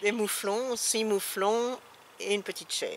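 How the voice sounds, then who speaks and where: With noticeable background noise behind her, a woman speaks very slowly at a medium pitch. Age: 60s. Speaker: retired social worker. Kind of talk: interview. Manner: halting.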